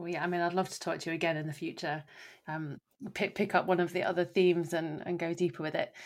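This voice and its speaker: Speaking at a very fast pace with a British accent, a woman keeps a monotone, flat intonation in her fairly low voice. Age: 30s. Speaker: podcast host. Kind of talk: interview conversation. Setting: remote call.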